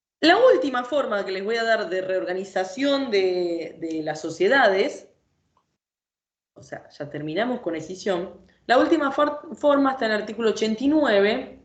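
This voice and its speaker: At a moderate pace, a woman speaks at a fairly high pitch. Her voice shows very wide pitch swings and big swings in loudness. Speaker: law lecturer. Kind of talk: lecture.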